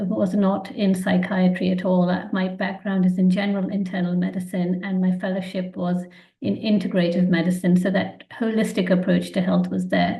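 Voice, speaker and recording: At a moderate pace, a woman with a medium pitch and a dark, mellow tone sounds somewhat breathy. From England, London. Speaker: physician. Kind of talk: webinar presentation. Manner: hesitant, frequent ums.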